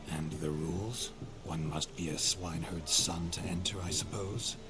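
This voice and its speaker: A man's put-on character voice, very deep and low, at a moderate pace over loud background noise. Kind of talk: old-fashioned upper-class speech. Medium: game stream.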